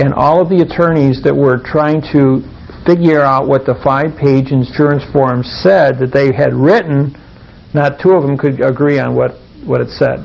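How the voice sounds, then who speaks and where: Against noticeable background noise, a man speaks at a fairly high pitch. His intonation stays fairly even. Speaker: workshop presenter. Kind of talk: seminar talk.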